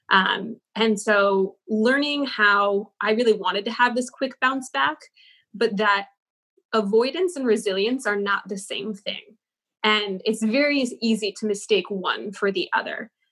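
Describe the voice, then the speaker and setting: A woman with a plain, everyday voice speaks fairly slowly in a fairly high pitch with ordinary pitch variation. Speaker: former Google change-maker and yoga teacher. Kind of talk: interview discussing personal growth.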